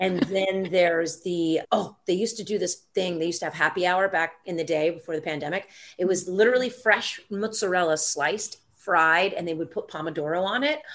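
In an American accent, an ordinary speaking voice runs at a fairly quick pace with hardly any pauses and ordinary pitch variation. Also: woman, medium pitch for a woman. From US South, Atlanta, Georgia. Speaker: actor and comedian. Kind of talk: casual interview chat.

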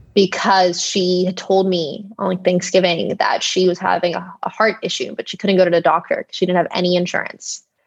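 The speaker has an American accent and vocal fry. The pace is fairly quick. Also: woman. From Texas. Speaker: biotech startup founder. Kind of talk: interview.

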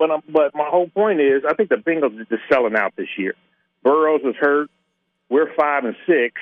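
Man with an ordinary speaking voice, fairly high in pitch, moderate pace and ordinary pitch variation. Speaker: caller. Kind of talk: casual chat. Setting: phone call.

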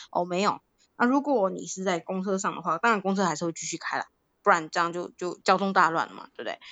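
Talking very fast at a medium pitch, a woman shows ordinary pitch variation and big swings in loudness. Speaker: podcast co-host. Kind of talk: casual chat.

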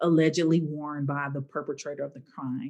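A woman with a Southern US accent. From Arkansas, US South. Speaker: social justice organizer. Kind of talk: interview.

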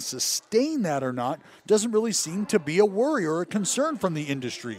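With an animated tone, a man speaks at a fairly quick pace in a dry, close sound with no echo. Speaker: baseball TV analyst, former pitcher. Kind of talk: casual sports talk.

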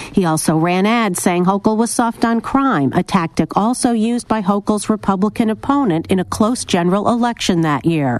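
With an ordinary speaking voice, a woman talks at a fairly quick pace in a medium pitch, her intonation lively and her loudness very even. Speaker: radio reporter. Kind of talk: scripted news report.

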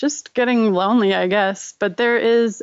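At a moderate pace and with fairly even intonation, a normal speaking voice talks with an American accent. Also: woman. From Rochester, New York. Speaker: designer and illustrator. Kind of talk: casual interview chat.

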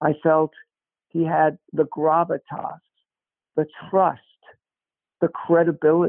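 Speaking at a very slow pace with an American accent, the voice stays monotone and flat in intonation. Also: man. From Brooklyn, New York. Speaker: talent agent and author. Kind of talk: interview. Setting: remote call. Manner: conversational.

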